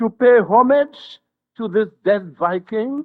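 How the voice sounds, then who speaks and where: A man speaks at a very slow pace in a high voice, his tone passionate and his intonation lively. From St. Lucia. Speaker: politician. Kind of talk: funeral eulogy oration. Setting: outdoors.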